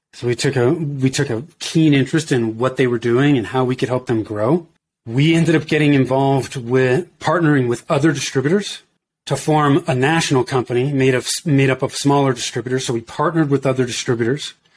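A plain, everyday voice from a man, medium in pitch, with fairly even intonation and a fairly quick pace. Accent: American. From US West Coast, Bay Area. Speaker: entrepreneur, marketing business owner. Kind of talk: casual interview.

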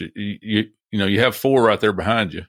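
A man's fairly low voice comes through in a Southern US accent. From US South. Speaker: record collector. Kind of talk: casual chat. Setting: video call.

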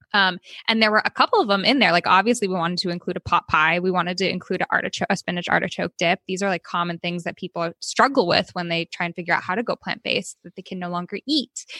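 A woman's bright, sharp tone at a very fast pace, with a Californian accent, in a dry, close sound with no echo. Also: medium pitch for a woman, ordinary pitch variation, hardly any pauses. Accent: Californian American. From California, Oakland. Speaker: cookbook author. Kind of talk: casual interview.

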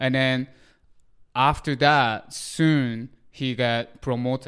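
A man with a Japanese accent and a medium pitch speaks at a very slow pace on a very clean recording with a silent background. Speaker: podcast co-host. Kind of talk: casual chat.

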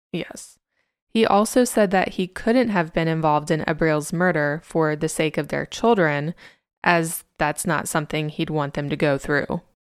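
In a plain, everyday voice, a woman with a fairly low pitch speaks at a moderate pace with ordinary pitch variation. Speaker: podcast host. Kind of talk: true-crime narration. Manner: measured, serious; sardonic asides.

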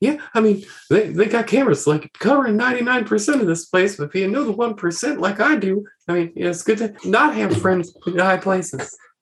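A man does a put-on character voice, pitched high, with lively intonation at a moderate pace. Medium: actual play. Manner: rambling, slangy, casual.

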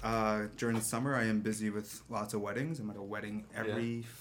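Here is a man with a plain, everyday voice. He has a Canadian accent and a medium pitch. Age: 30s. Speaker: photographer. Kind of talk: casual chat.

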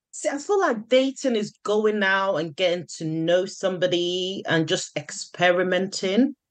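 Woman with an unremarkable speaking voice, a fairly slow pace, hardly any pauses and ordinary pitch variation. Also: medium pitch for a woman. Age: 30s. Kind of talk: casual chat.

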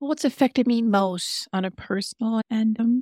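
Somewhat breathy and at a moderate pace, the voice keeps a fairly even intonation in a very clean recording with a silent background and a dry, close sound with no echo. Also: woman. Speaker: actress. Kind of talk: interview conversation.

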